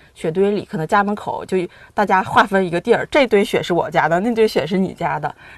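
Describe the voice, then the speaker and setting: A woman speaks at a fairly quick pace with a slight Harbin accent, her voice medium in pitch with ordinary variation. The background is quiet. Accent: Harbin northeastern tone, mild. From Harbin, Heilongjiang, China. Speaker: accountant, food lover. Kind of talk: casual chat. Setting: studio.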